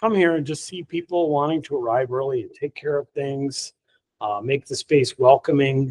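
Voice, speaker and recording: A man talks at a moderate pace with a fairly high pitch and ordinary pitch variation. His loudness swings widely, and the sound is dry and close with no echo. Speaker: Zen teacher and author. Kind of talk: dharma talk. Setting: hall with live audience. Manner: energetic; sometimes very quiet for emphasis.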